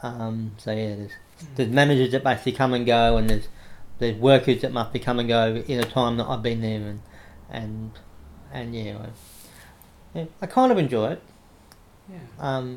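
With an Australian accent, a man speaks at a moderate pace, with long, frequent pauses, big swings in loudness and ordinary pitch variation. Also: medium pitch for a man. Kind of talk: interview. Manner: halting, frequent repetitions.

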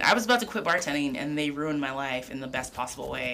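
Noticeable background noise accompanies a woman whose very deep, low pitch shows ordinary variation. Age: 30s. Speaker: chef. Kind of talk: casual chat. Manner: rambling.

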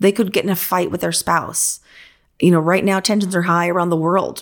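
Here is a woman with an ordinary speaking voice and medium pitch. The recording is very clean with a silent background, and she talks at a fairly quick pace. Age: 50s. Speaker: interior designer and podcast host. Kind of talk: casual chat.

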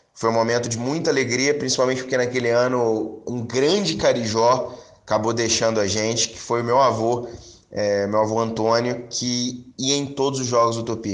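A man is speaking with noticeable background noise. Room echo is audible too. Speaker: podcast host, football fan. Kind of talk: podcast monologue and interview.

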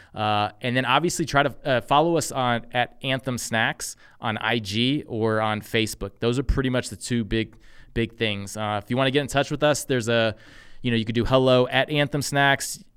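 In an American accent, a man with an ordinary speaking voice talks at a moderate pace and medium pitch, his intonation fairly even, on a very clean recording with a silent background. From Texas. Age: 40s. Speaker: army veteran and snack company CEO. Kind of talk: interview conversation.

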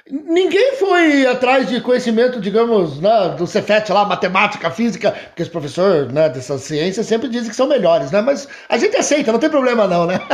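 Over noticeable background noise, a man with a high pitch swings very widely in pitch, talking at a moderate pace with hardly any pauses. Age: 50s. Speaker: podcast host and history teacher. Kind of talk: casual chat. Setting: guest's home.

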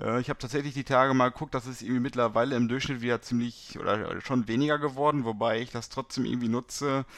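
Captured in a very clean recording with a silent background, a man speaks at a medium pitch with fairly even intonation. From Germany, Beckum (Westphalia). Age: 20s. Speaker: startup co-founder in sales. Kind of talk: casual interview. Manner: hesitant, many fillers.

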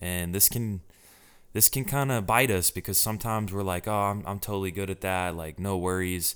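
At a fairly quick pace, a man speaks with a fairly low pitch and ordinary pitch variation on a very clean recording with a silent background. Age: 20s. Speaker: podcast host. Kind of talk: solo motivational talk. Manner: casual, hesitant with fillers.

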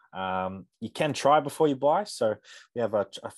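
With an Australian accent, a man talks in lively intonation. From Australia, Canberra. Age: young. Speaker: strength and conditioning coach. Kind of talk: sales pitch; casual chat.

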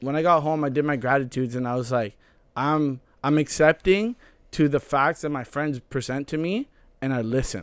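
Heard in a dry, close sound with no echo, a man with a fairly high pitch speaks at a moderate pace with ordinary pitch variation in a plain, everyday voice. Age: 20s. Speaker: podcast co-host. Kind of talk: casual chat.

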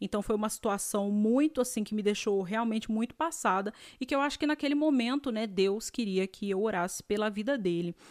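A woman's animated voice, fairly high in pitch, at a moderate pace with ordinary pitch variation, on a very clean recording with a silent background. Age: 30s. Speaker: podcast host and dentist. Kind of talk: casual storytelling monologue.

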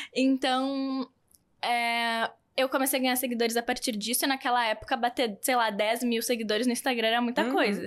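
A woman's high-pitched voice with a southern Brazilian accent, fairly quick and fairly even in intonation, very even in loudness, in a very clean recording with a silent background. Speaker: influencer and fashion brand founder. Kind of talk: podcast interview.

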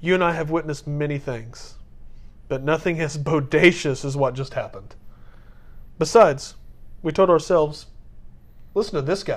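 The speaker keeps a moderate pace. Long, frequent pauses break up the speech. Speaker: podcast co-host. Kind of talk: casual chat. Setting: video call. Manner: joking.

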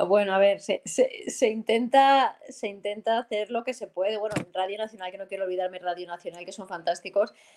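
A woman with an ordinary speaking voice talks at a medium pitch and fairly quick pace, with hardly any pauses. Her intonation is fairly even, though her loudness swings widely. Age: 40s. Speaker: football commentator and former military pilot. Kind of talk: interview.

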